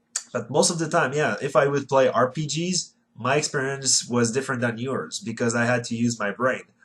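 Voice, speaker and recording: A man with a Quebec accent, at a fairly quick pace. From Quebec City, Canada. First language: French. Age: 20s. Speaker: retro gaming YouTuber. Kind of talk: casual vlog monologue. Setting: bedroom. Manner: halting.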